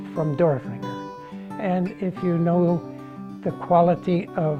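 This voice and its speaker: With music in the background, a man with an American accent speaks at a fairly high pitch. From Pennsylvania, USA. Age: 80s+. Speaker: glass artist and museum curator. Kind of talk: interview answer.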